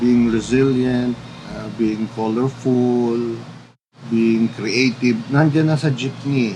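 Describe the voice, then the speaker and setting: Over noticeable background noise, a man speaks at a fairly slow pace and a medium pitch with fairly even intonation. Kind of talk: interview.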